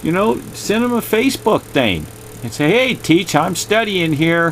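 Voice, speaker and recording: With music playing in the background, a man with a fairly high pitch talks at a moderate pace. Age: 60s. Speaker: YouTuber and art collector. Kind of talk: casual video monologue. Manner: rambling, repetitive.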